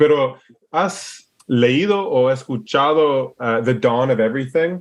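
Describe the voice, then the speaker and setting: With an English accent, a man talks at a very slow pace in a medium pitch, using ordinary pitch variation against a quiet background. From Alaska, US. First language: English (speaking Spanish). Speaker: permaculturist and entrepreneur. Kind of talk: interview. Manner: halting, searching for words.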